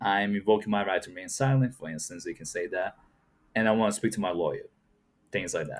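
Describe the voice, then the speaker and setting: A man with a Portuguese accent talks at a very fast pace, his loudness swinging widely. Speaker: YouTube reaction commentator. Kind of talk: reaction commentary. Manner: casual, conversational with fillers.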